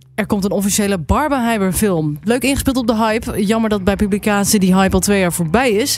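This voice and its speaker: Noticeable background noise behind a woman's fairly quick delivery. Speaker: podcast host. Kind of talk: casual chat. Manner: low energy.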